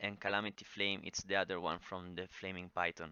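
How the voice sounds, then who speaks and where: At a moderate pace, a man speaks with an Italian accent. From Italy. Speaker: gaming guide creator. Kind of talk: tutorial. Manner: halting, many fillers.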